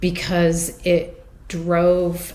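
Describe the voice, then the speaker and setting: A woman with an American accent and a fairly low pitch is heard amid audible room echo and noticeable background noise. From United States. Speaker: stained glass conservator, business founder. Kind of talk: interview. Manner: many fillers and hesitations.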